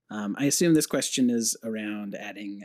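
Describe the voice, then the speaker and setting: Quiet and at a moderate pace, a man speaks in a very clean recording with a silent background and a dry, close sound with no echo. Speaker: game developer. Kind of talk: casual interview. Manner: quiet talker.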